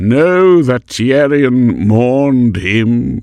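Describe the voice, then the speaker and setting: A man puts on a resonant character voice at a medium pitch. His pitch varies in an ordinary way. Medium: read story. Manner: grave, serious, authoritative.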